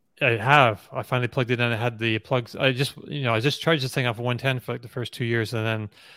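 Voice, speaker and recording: This man has an ordinary speaking voice at medium pitch with fairly even intonation, recorded very cleanly against a silent background with a dry, close sound and no echo. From rural New Brunswick, Canada. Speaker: EV news site editor and forum moderator. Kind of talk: casual chat.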